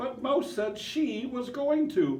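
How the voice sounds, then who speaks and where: This squeaky, high-pitched voice is a put-on character voice. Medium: read story. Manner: apologetic.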